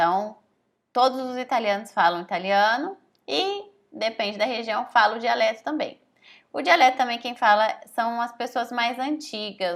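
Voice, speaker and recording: A woman with a slight São Paulo accent speaks at a moderate pace. Her fairly high voice has lively intonation. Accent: slight caipira (rural São Paulo). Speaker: language teacher. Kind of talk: online lesson. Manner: casual, conversational with many fillers.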